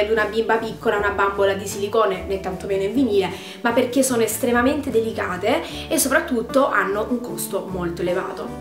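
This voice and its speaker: A woman at a fairly quick pace with ordinary pitch variation, clear music playing behind her. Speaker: doll collector vlogger. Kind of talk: casual vlog chat. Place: home room.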